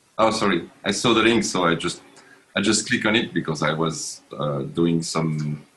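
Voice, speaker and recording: At a moderate pace, a man with a French accent speaks in a very deep, low voice with lively intonation. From France. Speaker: programmer. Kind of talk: casual chat. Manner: halting.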